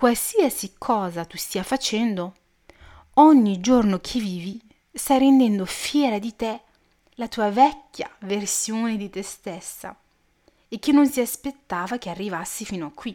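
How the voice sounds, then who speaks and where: With long, frequent pauses, a woman speaks at a fairly slow pace in a fairly high pitch, her tone dark and mellow and her pitch varying in an ordinary way. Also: big swings in loudness. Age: 20s. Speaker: podcast host. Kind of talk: personal monologue. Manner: casual, chatty.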